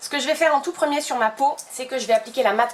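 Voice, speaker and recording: Ordinary pitch variation in a woman's speech, with noticeable background noise behind it. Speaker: beauty YouTuber. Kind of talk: casual chat while doing makeup. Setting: home filming setup with umbrella light. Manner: chatty, many hesitations.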